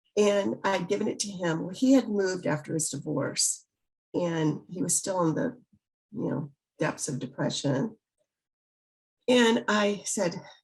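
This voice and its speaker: With an American accent, a woman speaks at a moderate pace in a somewhat breathy, fairly low-pitched voice with very wide pitch swings. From US South, Biloxi, Mississippi. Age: 70s. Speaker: author. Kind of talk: interview.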